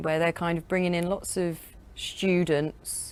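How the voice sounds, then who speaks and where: This woman has a London accent and a medium pitch, with monotone, flat intonation. She keeps a moderate pace on a very clean recording with a silent background. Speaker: podcast host. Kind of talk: casual interview chat. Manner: halting.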